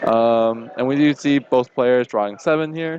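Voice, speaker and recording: Noticeable background noise sits behind a man whose pitch varies in an ordinary way, the sound dry and close with no echo. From China. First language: Chinese. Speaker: card game tournament commentator. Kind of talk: live commentary.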